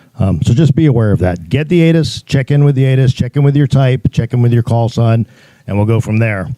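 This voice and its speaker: This man speaks at a fairly quick pace in a dark, mellow tone, with medium pitch, ordinary pitch variation, very even loudness and a dry, close sound with no echo. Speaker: air traffic controller. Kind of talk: presentation to pilots. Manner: fast.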